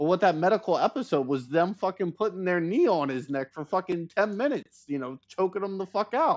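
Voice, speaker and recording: Animated and with lively intonation, a man talks at a fairly quick pace in a high pitch. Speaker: streamer. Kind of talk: heated debate. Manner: halting.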